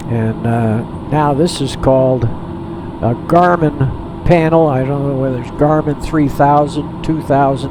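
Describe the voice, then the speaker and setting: Amid noticeable background noise and audible room echo, a man with a fairly high voice speaks fairly slowly, with ordinary pitch variation. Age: 80s+. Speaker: flight simulator gamer, retired pilot. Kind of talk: casual gameplay commentary. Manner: halting, with frequent repetitions.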